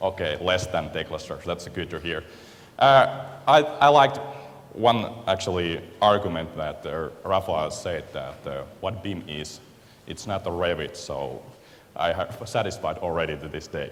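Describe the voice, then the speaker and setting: In a Finnish accent, a man speaks at a moderate pace with big swings in loudness and audible room echo. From Finland. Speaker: software company representative. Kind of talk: conference presentation. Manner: halting, many fillers.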